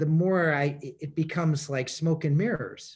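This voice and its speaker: A man with an American accent has an unremarkable speaking voice and a fairly high pitch. He speaks at a moderate pace with fairly even intonation. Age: 60s. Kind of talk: casual chat. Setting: video call.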